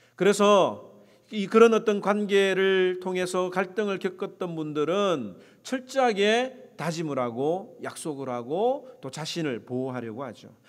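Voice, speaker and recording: Speaking very slowly in a high voice with a slight Gyeongsang accent, a man uses lively intonation and big swings in loudness. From South Korea, Gyeongsang. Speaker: pastor. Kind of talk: sermon.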